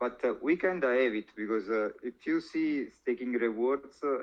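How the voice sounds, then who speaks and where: With an Italian accent, a man speaks at a moderate pace. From Italy. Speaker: crypto influencer. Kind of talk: interview. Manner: halting, many fillers.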